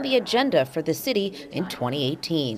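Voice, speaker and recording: Vocal fry runs through speech at a moderate pace with very wide pitch swings. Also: woman, dry, close sound with no echo. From Los Angeles. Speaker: television news reporter. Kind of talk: TV news report.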